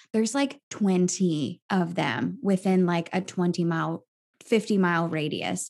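On a very clean recording with a silent background, a woman talks fairly slowly in an ordinary speaking voice with lively intonation. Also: fairly low pitch for a woman. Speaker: health coach and musical theater performer. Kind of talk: interview.

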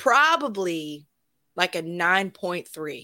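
A woman with a Southern US accent, bright and sharp in tone and animated, in a very clean recording over a silent background. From Alabama. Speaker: podcast guest, film commentator. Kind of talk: casual chat.

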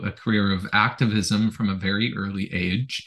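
A man talks with a Canadian accent. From Canada. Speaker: environmental researcher and author. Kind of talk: interview. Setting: video call.

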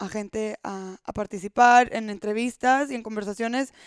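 A woman speaks with a fairly high pitch. The recording is very clean, with a silent background and a dry, close sound with no echo. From Monterrey, Mexico. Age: 20s. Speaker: podcast host. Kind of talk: solo podcast monologue.

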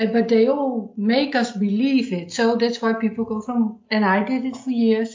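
A woman with a Dutch accent, fairly high pitch, fairly even intonation and a moderate pace. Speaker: podcast host and therapist. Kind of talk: interview conversation.

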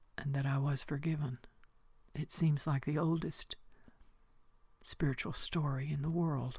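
A woman speaks fairly slowly in a very deep, low voice, somewhat breathy and flat in intonation, at a very even loudness and with long, frequent pauses. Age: 80s+. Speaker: spiritual teacher. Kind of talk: reflective spiritual monologue. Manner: slow, halting.

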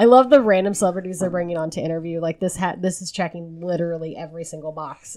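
Talking at a very fast pace with hardly any pauses, a woman with an American accent has a fairly low pitch, a dark, mellow tone, ordinary pitch variation and big swings in loudness. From Tennessee, US South. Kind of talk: casual chat.

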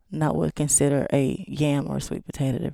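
Very deep and low in pitch, a woman's voice has a dark, mellow tone. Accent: East Texas. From East Texas. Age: 40s. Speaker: chef. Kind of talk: casual chat.

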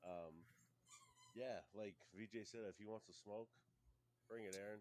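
This man's voice sits fairly low. He talks at a moderate pace. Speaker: pro wrestler, tag team champion.

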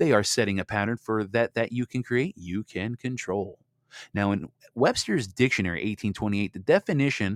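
A man talks at a fairly quick pace with a fairly low pitch. His pitch varies in an ordinary way. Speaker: podcast host. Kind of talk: solo podcast commentary. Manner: fast.

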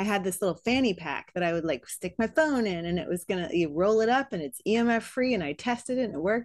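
In an ordinary speaking voice, a woman talks at a fairly quick pace with medium pitch and ordinary pitch variation, in a very clean recording with a silent background. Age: 40s. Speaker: fitness podcast host. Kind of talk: podcast interview.

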